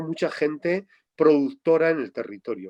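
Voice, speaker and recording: A man speaks at a moderate pace. His pitch is fairly high and his intonation lively. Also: dry, close sound with no echo. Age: 60s. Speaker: farmer and rural activist. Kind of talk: interview. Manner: halting.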